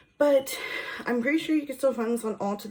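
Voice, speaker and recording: Noticeable background noise surrounds a woman's voice. Her intonation is lively. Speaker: beauty vlogger. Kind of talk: makeup tutorial. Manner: casual, chatty.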